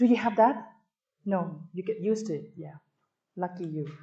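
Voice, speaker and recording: Over audible room echo, a woman speaks at a fairly slow pace with lively intonation and a dark, mellow tone. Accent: Thai. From Thailand. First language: Thai. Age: 50s. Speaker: tourism professor. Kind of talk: lecture. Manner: animated.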